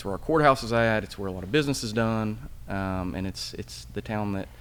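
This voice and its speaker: A man's fairly low, fast-paced voice with very wide pitch swings and audible room echo. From East Tennessee, Smoky Mountains. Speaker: podcast co-host. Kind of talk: casual conversation. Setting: historic theater building.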